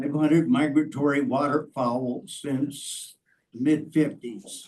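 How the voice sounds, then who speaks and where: A man speaks very slowly with an American accent. His pitch is fairly high and his intonation fairly even. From US Midwest, Dickinson County, Iowa. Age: 70s. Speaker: public commenter, local hunter. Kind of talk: public comment at hearing.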